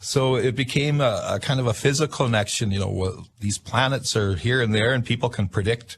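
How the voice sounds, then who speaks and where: A somewhat breathy man at a fairly quick pace, ordinary pitch variation, quiet background. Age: 60s. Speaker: inventor and self-taught astrologer. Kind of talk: radio interview. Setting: radio studio. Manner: halting, many fillers.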